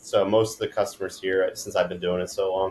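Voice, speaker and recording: A man with a slight East Coast accent at a moderate pace. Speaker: detailing business owner. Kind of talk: podcast interview. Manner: monotone.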